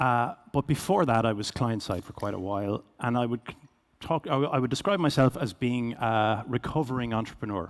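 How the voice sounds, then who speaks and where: Here a man talks with a Cork accent. His medium pitch shows ordinary pitch variation. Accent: Irish (Cork). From Ireland, Cork. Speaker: business executive, keynote speaker. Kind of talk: keynote presentation. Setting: stage with audience. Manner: fast.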